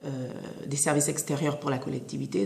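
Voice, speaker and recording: Against noticeable background noise and audible room echo, a woman speaks at a fairly quick pace with a very deep, low pitch. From Saint Martin, Caribbean. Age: 20s. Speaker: former student giving career testimony. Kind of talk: testimony. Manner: hesitant, many filler sounds.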